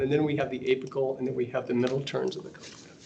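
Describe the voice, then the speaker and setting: Speaking very fast with an American accent, a man is heard through audible room echo and noticeable background noise. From US South. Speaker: radiology professor. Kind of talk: lecture.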